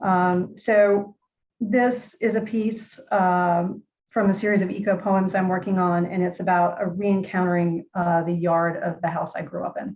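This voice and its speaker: A woman with an American accent speaks at a moderate pace, her medium pitch carried on fairly even intonation. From Virginia. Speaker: poet. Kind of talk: interview and poetry reading. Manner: hesitant, many fillers.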